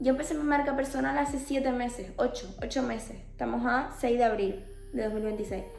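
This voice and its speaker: Against noticeable background noise and audible room echo, a woman speaks at a fairly quick pace with a high pitch and ordinary pitch variation. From Canary Islands, Spain (Tenerife). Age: 20s. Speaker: life coach / mentor. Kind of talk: personal testimony to camera.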